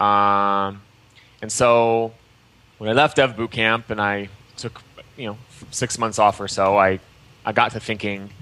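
A man with an American accent, fairly low in pitch, with fairly even intonation. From US Midwest, Michigan. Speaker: entrepreneur and coding educator. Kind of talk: interview.

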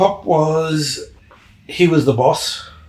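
Noticeable background noise runs beneath a man speaking with an Australian accent. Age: 60s. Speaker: retired engineer. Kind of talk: casual interview. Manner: halting, searches for words.

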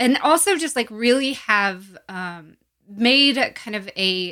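The recording is very clean over a silent background. A woman's tone comes across bright and sharp. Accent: American. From US South, Gulf Coast and Appalachia. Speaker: climate activist. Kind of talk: interview.

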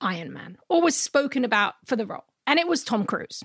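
With a London accent, a woman speaks in a bright, sharp tone, her pitch swinging very widely. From London, England. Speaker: pop culture podcast co-host. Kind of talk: casual chat.

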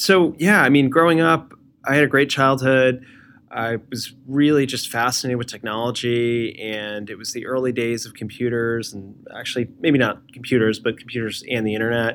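With a plain, everyday voice and an American accent, a man talks at a moderate pace in a medium pitch with ordinary pitch variation. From New Jersey, US. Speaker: design leader, former engineer. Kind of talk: interview.

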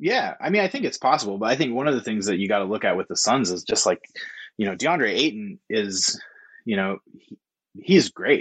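With an American accent, a man talks at a fairly quick pace in a medium pitch with very wide pitch swings, his sound dry and close with no echo against a quiet background. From Oregon, Corvallis. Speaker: freelance sports writer. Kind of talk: casual chat.

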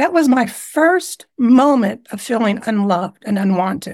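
A woman's plain, everyday voice, fairly high in pitch, with lively intonation. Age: 60s. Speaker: trauma survivor and healer. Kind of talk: interview conversation sharing personal story.

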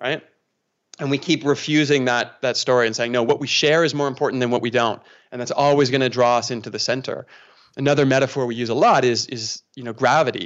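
A man with a Canadian accent, medium pitch, fairly even intonation and a very fast pace. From Canada, near Toronto. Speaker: pastor. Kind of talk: casual interview conversation.

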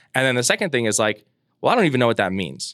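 Medium pitch and ordinary pitch variation from a man, on a very clean recording with a silent background. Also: dry, close sound with no echo. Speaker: political strategist and podcaster. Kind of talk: casual chat.

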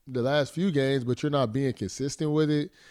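On a very clean recording with a silent background, a man with an ordinary speaking voice talks at a moderate pace in a fairly high pitch with ordinary pitch variation. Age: 20s. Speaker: former NFL player and football pundit. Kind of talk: casual sports talk.

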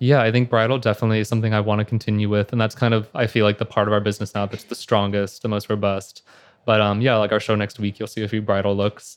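Flat and monotone, a man with an American accent talks at a very fast pace. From Houston, Texas. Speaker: fashion designer. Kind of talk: interview. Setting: live recording at fashion week venue.

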